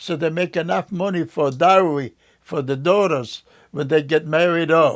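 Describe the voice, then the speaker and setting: Speaking in a Polish accent at a moderate pace, a man with a high pitch and ordinary pitch variation is heard on a very clean recording with a silent background. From Poland. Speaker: Holocaust survivor. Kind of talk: oral history interview. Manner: halting.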